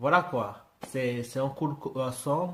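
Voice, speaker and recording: A man speaks at a fairly slow pace. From Britain. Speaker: YouTuber reacting to music. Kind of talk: casual reaction commentary. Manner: halting, many hesitations.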